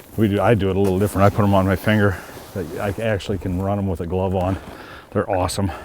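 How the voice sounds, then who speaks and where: A man with an American accent talks at a fairly quick pace in a monotone, flat delivery. There is noticeable background noise. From US Midwest, Missouri River near South Dakota/Nebraska. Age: 60s. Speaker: waterfowl hunting show host. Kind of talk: outdoor show narration and casual talk.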